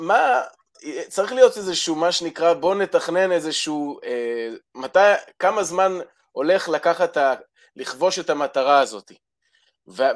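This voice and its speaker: This man's voice sits high in pitch, with lively intonation. Long, frequent pauses break up his speech. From Israel. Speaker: caller. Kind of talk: call-in conversation. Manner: halting.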